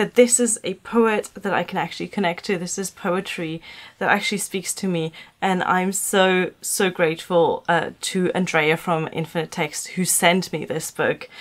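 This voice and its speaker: In a very clean recording with a silent background, a woman with a German accent speaks at medium pitch and a fairly slow pace, with fairly even intonation. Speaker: book vlogger. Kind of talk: casual vlog talk. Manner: halting, many fillers.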